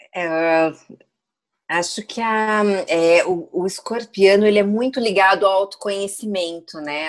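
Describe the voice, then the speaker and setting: This woman speaks at a fairly slow pace. She has a plain, everyday voice with ordinary pitch variation. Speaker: astrology guest. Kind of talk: casual chat.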